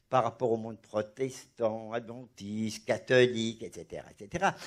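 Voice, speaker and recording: A man speaking at a fairly slow pace. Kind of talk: religious discussion. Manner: animated; halting, repeats words.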